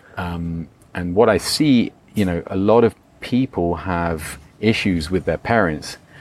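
Noticeable background noise surrounds a man with a very deep, low pitch. He speaks at a fairly slow pace with ordinary pitch variation. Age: 50s. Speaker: retreat leader and coach. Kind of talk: interview.

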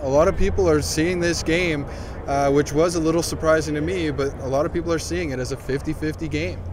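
Over noticeable background noise, a man with a fairly high pitch talks at a fairly quick pace with very wide pitch swings. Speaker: sports journalist. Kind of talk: casual interview.

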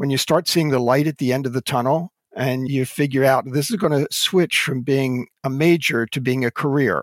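A man speaks with an American accent in a plain, everyday voice, fairly high pitched, with ordinary pitch variation at a moderate pace. The sound is dry and close, with no echo. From US Northeast, Philadelphia suburbs. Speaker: Old Testament scholar and professor. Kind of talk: interview.

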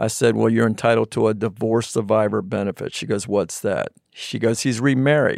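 A man with an American accent speaks at a fairly quick pace and medium pitch, an unremarkable speaking voice, dry and close with no echo on a very clean recording with a silent background. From Virginia, US. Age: 60s. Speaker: financial planner and business president. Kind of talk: casual interview chat.

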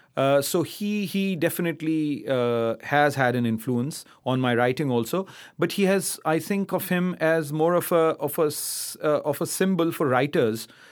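A man with a Pakistani accent, fairly high in pitch with ordinary variation, at a moderate pace, in a very clean recording with a silent background. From Pakistan, Karachi. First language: Urdu. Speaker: poet. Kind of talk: interview. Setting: stage with audience. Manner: halting, many fillers and repetitions.

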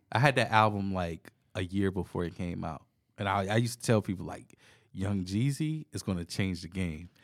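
On a very clean recording with a silent background, a man with a plain, everyday voice and an American accent speaks at a moderate pace, his pitch fairly low with ordinary variation. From US South, southern Virginia (South Boston). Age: 30s. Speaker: DJ and music producer. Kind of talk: casual chat. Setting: recorded at a venue, in person.

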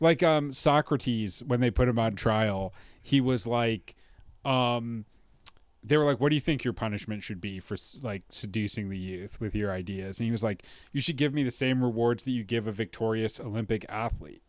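A man speaks at a moderate pace with an American accent, his pitch medium and its variation ordinary, in an unremarkable speaking voice. The recording is very clean, with a silent background. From US heartland. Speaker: podcast host and bass player. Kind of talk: casual chat. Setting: guest's home recording studio.

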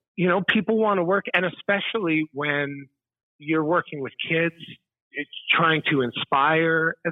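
This is a normal speaking voice with ordinary pitch variation, delivered at a fairly slow pace. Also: man, fairly high pitch for a man. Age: 30s. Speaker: musician and teacher. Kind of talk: interview. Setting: phone call.

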